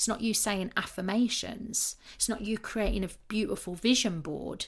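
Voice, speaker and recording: At a moderate pace, a voice with vocal fry comes through on a very clean recording with a silent background. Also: woman. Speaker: manifestation coach and podcaster. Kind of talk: podcast monologue. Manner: animated.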